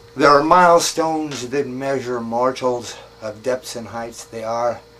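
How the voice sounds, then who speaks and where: With noticeable background noise behind him, a man at medium pitch speaks at a fairly slow pace, his intonation fairly even and his loudness swinging widely. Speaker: poet. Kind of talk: poetry reading. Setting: outdoors. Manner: wry, darkly humorous.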